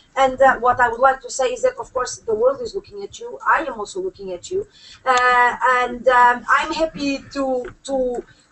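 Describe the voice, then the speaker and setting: High-pitched and lively in intonation, a woman speaks with a Portuguese accent. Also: moderate pace, big swings in loudness. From Portugal. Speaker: UN human rights expert. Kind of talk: panel speech. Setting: conference room with audience. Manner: halting, many fillers.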